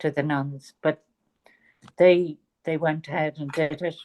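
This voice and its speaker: Dry and close with no echo, a woman's voice moves at a fairly slow pace. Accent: Dublin. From Ireland, Dublin. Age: 70s. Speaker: author. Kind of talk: interview.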